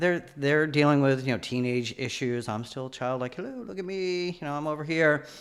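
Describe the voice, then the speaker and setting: Hardly pausing, a man talks at a fairly quick pace with a fairly high pitch and ordinary pitch variation. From New England, Nashua, New Hampshire. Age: 50s. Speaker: person in recovery from alcoholism. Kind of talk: personal testimony in podcast interview.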